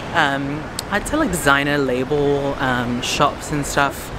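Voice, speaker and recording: Speech comes at a very slow pace over noticeable background noise, the sound dry with no echo. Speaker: vlogger. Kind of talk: casual vlog chat. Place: street. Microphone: phone near.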